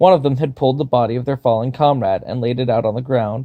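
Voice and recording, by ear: A passage of reading aloud in a natural voice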